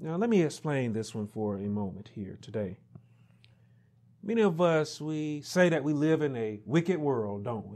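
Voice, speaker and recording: A man's fairly high voice at a moderate pace, with very wide pitch swings and big swings in loudness over a quiet background. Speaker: minister. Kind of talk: sermon preaching. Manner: emphatic, rhetorical. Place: home room.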